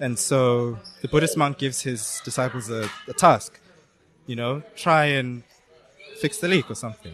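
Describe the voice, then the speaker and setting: With noticeable background noise, a man talks at a moderate pace with long, frequent pauses. His pitch is medium, with ordinary variation. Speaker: penetration tester. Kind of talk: casual chat. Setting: outdoors.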